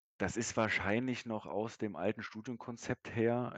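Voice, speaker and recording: This man talks at a fairly slow pace. The sound is close and dry, without any echo. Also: quiet background. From Berlin, Germany. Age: 30s. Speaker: sales manager and distance-learning graduate. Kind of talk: interview. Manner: hesitant, many fillers.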